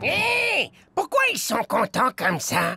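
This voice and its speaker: A cartoonish character voice is at work. It moves at a fairly slow pace. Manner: eager, servile to boss.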